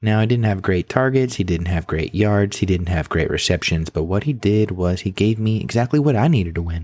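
In a very clean recording with a silent background, a man has an ordinary speaking voice, a fairly low pitch and ordinary pitch variation. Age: 30s. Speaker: fantasy football podcaster. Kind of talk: comedic monologue.

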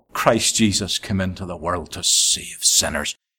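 This is a man speaking with a Northern Irish accent. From Northern Ireland. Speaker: evangelist. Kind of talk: sermon. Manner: repetitive, emphatic preaching.

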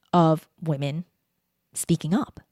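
A woman with a Canadian accent, very slow, with dry, close sound and no echo. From Canada, Vancouver. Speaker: voice coach and podcast strategist. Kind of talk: interview. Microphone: podcast microphone close-pickup.

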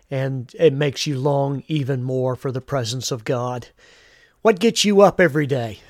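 The recording is very clean, with a silent background and a dry, close sound with no echo, carrying lively intonation at a moderate pace. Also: man, medium pitch for a man. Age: 50s. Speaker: pastor. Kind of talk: devotional podcast talk. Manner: halting, many fillers.

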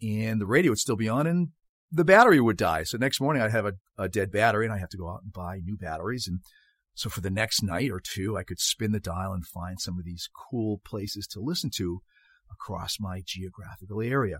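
With a Boston accent, a man speaks at a fairly low pitch and a fairly quick pace with lively intonation, in a very clean recording with a silent background and a dry, close sound with no echo. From Boston, Massachusetts. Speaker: podcast host and soccer coach. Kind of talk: solo podcast monologue.

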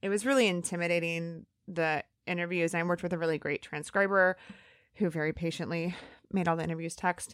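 A woman with an American accent and a normal speaking voice talks at a fairly quick pace in a fairly low pitch with fairly even intonation, recorded very cleanly against a silent background with a dry, close sound and no echo. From US Midwest, northern Indiana. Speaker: comedy producer and author. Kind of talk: interview.

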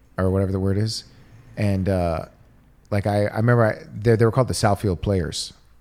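At a fairly quick pace, a man with a fairly low pitch speaks in a plain, everyday voice. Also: fairly even intonation. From Detroit, US Midwest. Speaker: comedian. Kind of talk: casual chat.

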